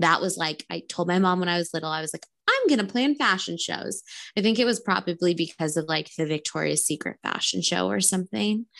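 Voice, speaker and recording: Vocal fry and lively intonation mark this voice with an American accent. The pace is fairly quick, and the background is quiet. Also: woman, fairly low pitch for a woman. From Southern California. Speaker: spray tan business owner. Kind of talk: interview.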